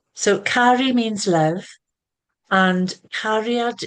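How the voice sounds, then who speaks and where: Speaking with a Welsh accent, a woman shows ordinary pitch variation. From Wales. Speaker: spiritual teacher and healer. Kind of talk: podcast interview.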